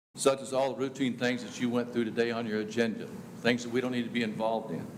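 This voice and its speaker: Audible room echo on a man's voice of medium pitch. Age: 70s. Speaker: public commenter at county meeting. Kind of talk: public comment at government meeting. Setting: county commissioners court meeting.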